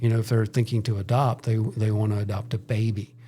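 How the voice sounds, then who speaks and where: Monotone, flat delivery against noticeable background noise. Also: man. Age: 60s. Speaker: church missions minister. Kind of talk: podcast interview.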